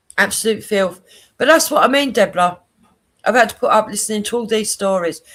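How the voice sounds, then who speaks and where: An animated tone at a moderate pace, in a Cockney accent. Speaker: live streamer. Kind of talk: casual livestream chat.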